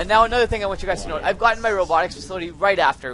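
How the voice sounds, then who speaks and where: A man talks at a very fast pace. Noticeable noise sits in the background. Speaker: gaming video creator. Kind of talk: gameplay commentary tutorial. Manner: animated.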